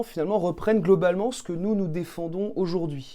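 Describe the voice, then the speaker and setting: Moving at a moderate pace, a man's high-pitched voice carries a dark, mellow tone and ordinary pitch variation. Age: 20s. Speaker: local politician, candidate. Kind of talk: radio interview. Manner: hesitant, many fillers.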